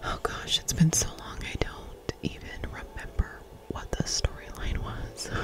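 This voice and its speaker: Noticeable background noise sits under a woman's whisper. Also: fairly slow pace. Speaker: ASMR creator. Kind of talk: ASMR gameplay commentary. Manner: whispered.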